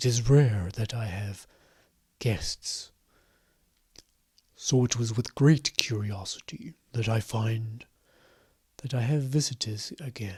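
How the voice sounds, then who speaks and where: A man puts on a booming character voice at a medium pitch, speaking at a fairly slow pace with long, frequent pauses. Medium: actual play. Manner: formal, measured.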